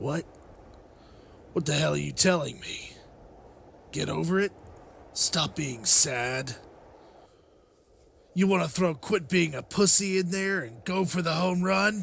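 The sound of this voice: A man's put-on character voice, fairly high in pitch and fairly bright in tone, with vocal fry, a slow pace, and long, frequent pauses. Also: ordinary pitch variation.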